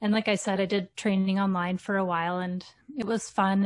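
A somewhat breathy woman with a Canadian accent and fairly even intonation, against a quiet background. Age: 40s. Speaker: teacher and fitness content creator. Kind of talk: casual interview.

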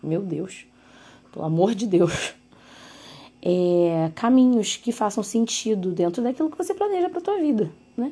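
A woman's medium-pitched voice, lively in intonation, at a moderate pace. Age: 20s. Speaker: podcast host. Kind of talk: solo podcast monologue. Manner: casual, conversational.

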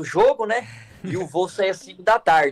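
Recorded dry and close with no echo, a man with a plain, everyday voice speaks at a moderate pace with ordinary pitch variation. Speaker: youth organization national leader. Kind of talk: casual chat.

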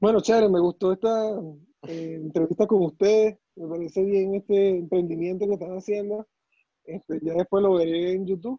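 A man with a Venezuelan accent speaks at a moderate pace in a high voice with a dark, mellow tone, fairly even intonation and a dry, close sound with no echo. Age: 20s. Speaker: surgeon. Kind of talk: casual chat.

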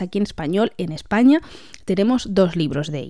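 Her intonation is lively, and her medium-pitched voice has a dark, mellow tone. The woman talks at a moderate pace. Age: 20s. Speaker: podcast host, book reviewer. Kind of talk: casual monologue.

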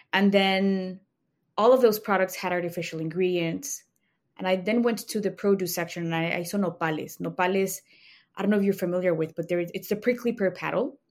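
A woman of medium pitch talks at a fairly quick pace with a Spanish accent. Her intonation stays fairly even, and the recording is very clean with a silent background. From Mexico City, Mexico. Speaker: snack company founder. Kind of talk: interview.

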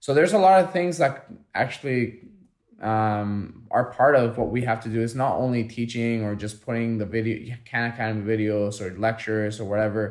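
A man speaks at a moderate pace with a non-native accent. His pitch is medium, with ordinary variation. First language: not English. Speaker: teacher and podcast co-host. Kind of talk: casual chat.

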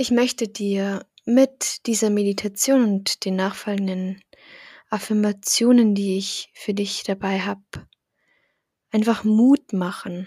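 Very slow, with long, frequent pauses, a woman speaks at a medium pitch in a dark, mellow, somewhat breathy tone. The recording is very clean, with a silent background. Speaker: meditation guide. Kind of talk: guided meditation. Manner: calm, slow, soothing; gentle, encouraging.

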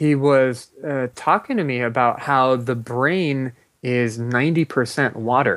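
In a very clean recording with a silent background, a man with an ordinary speaking voice speaks at a fairly slow pace and medium pitch, with fairly even intonation. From US West Coast, Los Angeles. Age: 30s. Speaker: meditation movement founder. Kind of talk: interview.

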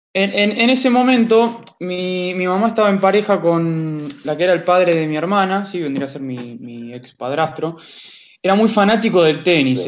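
Speaking in a Rioplatense accent, a man uses a high pitch and lively intonation at a moderate pace. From Buenos Aires, Argentina. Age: 20s. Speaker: tennis coach. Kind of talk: interview.

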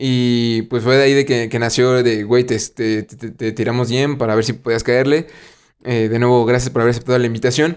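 A man with a Mexican accent talks at medium pitch and a moderate pace with monotone, flat intonation. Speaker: podcast host. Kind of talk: casual chat.

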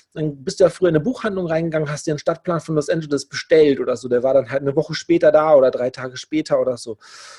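A very fast man's voice, fairly high in pitch with a dark, mellow tone and ordinary pitch variation, dry and close with no echo. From Germany, Lower Rhine region. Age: 40s. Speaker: affiliate marketer, formerly homeless. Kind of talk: interview, personal story.

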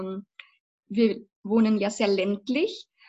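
Somewhat breathy, a woman speaks at a fairly slow pace with a fairly high pitch. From Lower Bavaria, Passau. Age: 20s. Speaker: vocal and acting coach, former musical performer. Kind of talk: casual interview.

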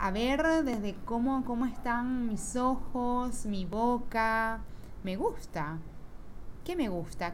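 A woman speaks very slowly in a fairly high pitch with lively intonation, and audible echo fills the room. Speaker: podcast host. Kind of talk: solo reflective monologue. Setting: at home. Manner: animated.

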